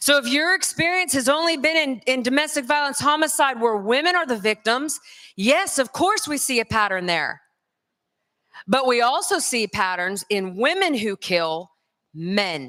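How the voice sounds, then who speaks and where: A woman with a Southern US accent speaks at a moderate pace in a raised, projected voice, high-pitched, bright and sharp, animated in tone, with very wide pitch swings. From US South, North Carolina. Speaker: conference speaker, crime scene expert. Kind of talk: conference lecture.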